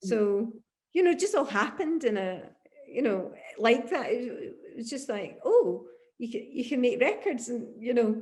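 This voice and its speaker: A somewhat breathy woman's voice with a Glasgow accent. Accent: Scottish (Glasgow). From Glasgow, Scotland. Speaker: singer, guitarist, songwriter. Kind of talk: interview answer.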